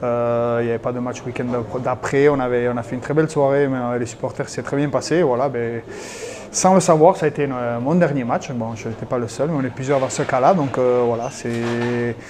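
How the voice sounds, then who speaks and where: Over noticeable background noise, a man with a Basque accent talks at a fairly quick pace in a medium-pitched voice with fairly even intonation. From French Basque Country, Hendaye. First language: Basque (speaking French). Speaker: retired rugby player. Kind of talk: interview. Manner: hesitant, many fillers.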